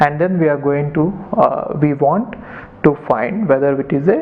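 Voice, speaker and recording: A man with a fairly high pitch and ordinary pitch variation talks at a moderate pace while noticeable background noise plays. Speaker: maths teacher. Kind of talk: lecture.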